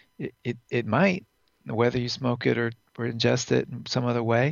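With vocal fry, the speaker moves at a moderate pace broken by long, frequent pauses. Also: man. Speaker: neurophysiologist, former biology professor. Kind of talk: interview about cannabis science. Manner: halting, with repeated words.

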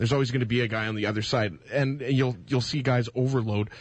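Here a man talks at a very fast pace. His medium-pitched voice is somewhat breathy. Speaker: radio co-host. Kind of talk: sports commentary and debate. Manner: casual, opinionated, lively.

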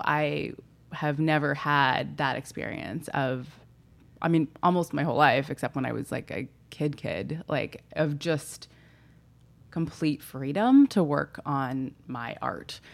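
At a fairly slow pace, a woman speaks with a very deep, low pitch, vocal fry, and fairly even intonation on a very clean recording with a silent background. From Southern California. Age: 30s. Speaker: writer. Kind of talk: casual chat. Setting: home office.

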